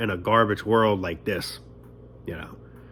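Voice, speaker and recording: Speaking at a fairly quick pace, a man with a medium-pitched voice talks with a New York accent. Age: 20s. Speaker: vlogger. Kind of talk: casual monologue rant. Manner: animated.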